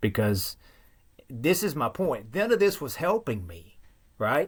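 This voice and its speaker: A man with a strong Southern US accent at a fairly slow pace, on a very clean recording with a silent background. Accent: thick Southern. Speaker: guest sharing recovery story. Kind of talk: testimony.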